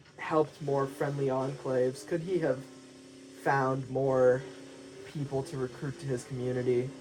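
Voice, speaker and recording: A man with a medium-pitched voice speaks at a fairly slow pace over noticeable background noise. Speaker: gaming video narrator. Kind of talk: story narration over gameplay. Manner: some stuttering.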